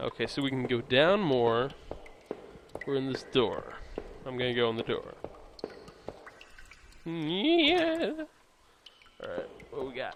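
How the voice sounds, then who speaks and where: This man delivers his words fairly slowly. Long pauses come often. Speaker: let's play gamer. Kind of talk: casual gameplay commentary.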